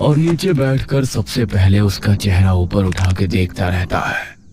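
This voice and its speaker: This is a put-on character voice from a man, pitched very deep and low. He speaks at a moderate pace over clear background noise. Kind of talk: horror narration. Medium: read story.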